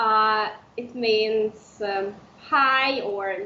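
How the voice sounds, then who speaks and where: A woman's fairly high voice with an Udmurtia accent and fairly even intonation, amid audible room echo. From Udmurtia, Russia (village). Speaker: language teacher. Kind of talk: interview. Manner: halting, many fillers.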